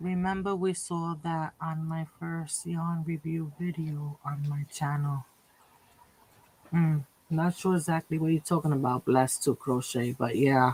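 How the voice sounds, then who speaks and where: A woman speaks with a New York accent at a fairly slow pace. Her pitch is very deep and low, with fairly even intonation. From Brooklyn, New York City. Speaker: crochet and knitting crafter. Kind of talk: casual chat.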